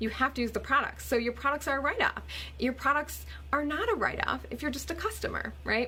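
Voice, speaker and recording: Against noticeable background noise, a woman talks at a fairly quick pace in an animated tone. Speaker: network marketer vlogger. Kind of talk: casual vlog explainer. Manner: fast.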